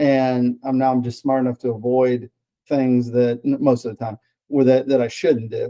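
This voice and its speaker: In a dry, close sound with no echo, a dark, mellow voice speaks at a moderate pace with monotone, flat intonation. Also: man, medium pitch for a man. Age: 60s. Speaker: patient giving testimonial. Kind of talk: testimony. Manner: halting, with fillers and repeated words.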